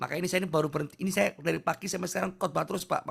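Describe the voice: Putting on a character voice, a man talks at a very fast pace and high pitch, hoarse and raspy, with monotone, flat intonation.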